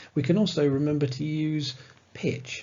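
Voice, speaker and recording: A man talks in a fairly high pitch with vocal fry. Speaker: presentation skills instructor. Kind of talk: tutorial. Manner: conversational.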